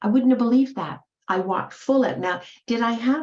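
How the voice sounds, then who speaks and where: Lively intonation in a woman's slightly breathy voice. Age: 70s. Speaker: motivational speaker. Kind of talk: motivational talk. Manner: animated.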